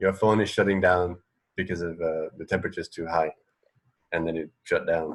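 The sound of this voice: A man speaks at a moderate pace. His pitch moves very little.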